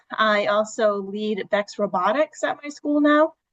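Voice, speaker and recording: The recording is dry and close with no echo, as a woman with a New England accent speaks at a medium pitch with ordinary pitch variation. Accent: New England, non-rhotic. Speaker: teacher. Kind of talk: self-introduction in online workshop. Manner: hesitant, many fillers.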